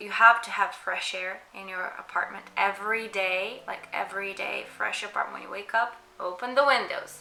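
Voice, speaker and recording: A non-native accent colors the speech. The intonation stays mostly level. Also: woman. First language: not English. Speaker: mental health content creator. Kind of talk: casual advice talk. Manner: halting, many fillers.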